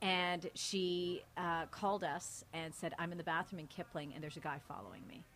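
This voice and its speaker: Bright, sharp tone from a woman with a Canadian accent, fairly low in pitch, at a moderate pace, on a very clean recording against a silent background. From Canada, Mississauga. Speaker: TV news anchor. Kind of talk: casual interview conversation. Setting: hotel, live recording.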